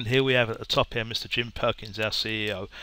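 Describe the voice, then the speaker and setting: A man's bright, sharp tone comes at a fairly quick pace. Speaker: business co-founder presenter. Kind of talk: webinar sales pitch. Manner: fast; stuttering repetitions.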